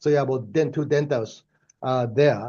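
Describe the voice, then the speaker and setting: Speaking at a fairly slow pace, a man with a Japanese accent has a medium-pitched voice and a dark, mellow tone. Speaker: professor. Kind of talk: lecture. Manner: hesitant, many fillers.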